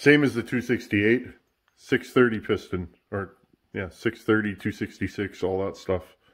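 A man reads at a very slow pace. His voice is fairly low, with ordinary pitch variation. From Canada. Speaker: sheet metal worker and chainsaw hobbyist YouTuber. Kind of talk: casual workshop talk to camera. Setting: home workshop. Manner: relaxed, filler-heavy. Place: workshop. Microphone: camera far.

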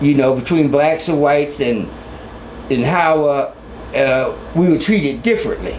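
A man's fairly high-pitched voice at a moderate pace, with very even loudness, ordinary pitch variation and long, frequent pauses over light background noise. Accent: American. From Columbus, Ohio; Ohio. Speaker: former student activist; oral history storyteller. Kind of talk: oral history interview. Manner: halting, many fillers. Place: home room.

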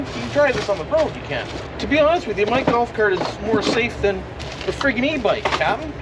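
A man talks at a moderate pace with music playing behind him. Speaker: hobby vlogger. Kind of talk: casual vlog chat. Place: street. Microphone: camera far.

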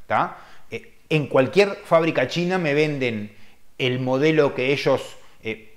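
This is a man with vocal fry. He speaks at a fairly slow pace. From Uruguay. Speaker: car detailer and channel host; channel host. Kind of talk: live-stream chat answering viewer questions. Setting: live stream. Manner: casual, hesitant with many fillers. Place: home room. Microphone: webcam.

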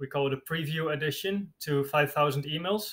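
In a Dutch accent, the speaker uses a bright, sharp tone and fairly even intonation at a moderate pace. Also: man. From Netherlands. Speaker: bitcoin writer. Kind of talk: interview. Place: home room. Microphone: earbuds.

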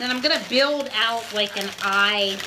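Noticeable background noise runs under a woman speaking at a very slow pace. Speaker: balloon twisting teacher. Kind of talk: tutorial. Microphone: phone near.

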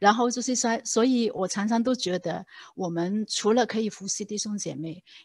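A somewhat breathy woman in a Hong Kong accent at a medium pitch and moderate pace, ordinary pitch variation, dry sound with no echo, quiet background. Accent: Hong Kong Cantonese accent in Mandarin. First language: Cantonese (speaking Chinese). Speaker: church lay leader teaching on discipleship. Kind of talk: church seminar talk. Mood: warm, storytelling. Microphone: video call.

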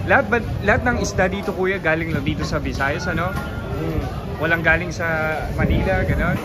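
Over loud music in the background, a man speaks at a moderate pace. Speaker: travel vlogger. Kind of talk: casual vlog chat with vendors. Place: market. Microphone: phone near.

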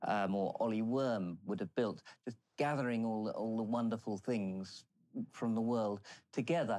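A man speaks at a fairly slow pace. His pitch is medium, with ordinary variation. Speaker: collector and museum owner. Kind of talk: interview answer. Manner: very slow. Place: bar.

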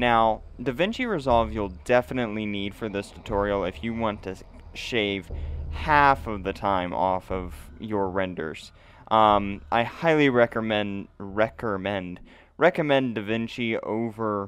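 A man speaks at a fairly slow pace and a fairly low pitch, with ordinary pitch variation. It is an unremarkable speaking voice, and the sound is dry with no echo. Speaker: tech tutorial creator. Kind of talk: tutorial. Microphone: studio mic.

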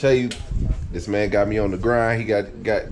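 Light noise sits behind a man as he speaks. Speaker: vlogger. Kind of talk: casual vlog chat. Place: garage. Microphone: phone near.

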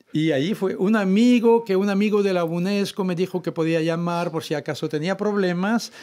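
Speaking at a moderate pace, a man talks with a French accent. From France, Brittany. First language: French (speaking Spanish). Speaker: author; guest. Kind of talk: interview. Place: studio. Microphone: studio mic.

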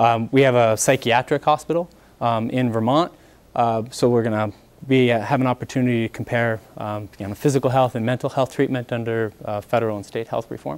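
Intonation remains fairly even. The man talks at a fairly quick pace. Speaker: panel moderator. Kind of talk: event introduction. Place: classroom.

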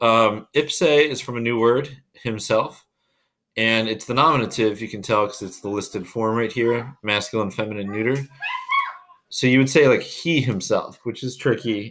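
Over noticeable background noise, the speech keeps a moderate pace. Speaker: Latin teacher. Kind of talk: tutorial.

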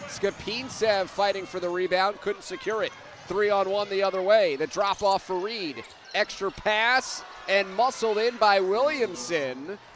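A man talks at a fairly slow pace in a high voice with ordinary pitch variation. Background noise is noticeable. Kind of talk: live basketball play-by-play commentary. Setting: broadcast booth at a game.

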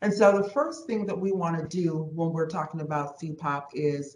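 A somewhat breathy woman speaks with ordinary pitch variation, with audible room echo around her. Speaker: presenter. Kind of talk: meeting presentation. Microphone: video call.

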